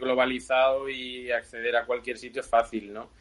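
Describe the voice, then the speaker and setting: In an Andalusian accent, a man speaks at a moderate pace with fairly even intonation. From Seville, Spain. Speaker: bicycle frame builder. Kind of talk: interview.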